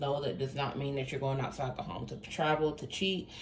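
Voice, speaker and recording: Woman's voice with audible room echo. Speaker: tarot reader. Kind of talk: tarot reading monologue.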